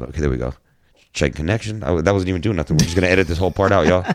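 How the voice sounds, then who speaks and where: There is vocal fry in this man's voice. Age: 40s. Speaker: former musician and tournament angler. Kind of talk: casual chat. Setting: studio.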